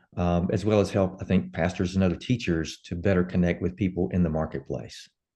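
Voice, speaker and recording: Against a quiet background, a man with a very deep, low pitch and a dark, mellow tone talks at a fairly quick pace with fairly even intonation. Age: 60s. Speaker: pastor and author. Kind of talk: interview.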